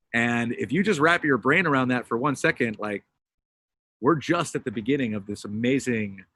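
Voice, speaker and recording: An American accent marks this man's speech at a moderate pace and medium pitch, in a bright, sharp tone. The recording is very clean, with a silent background. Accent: sounds American. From Britain. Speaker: crypto payments entrepreneur. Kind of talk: panel discussion. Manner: animated.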